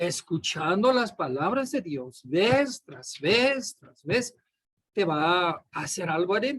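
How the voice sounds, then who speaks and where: With a high pitch that swings very widely, a man speaks very slowly. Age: 60s. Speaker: pastor. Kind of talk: sermon. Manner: repetitive emphatic.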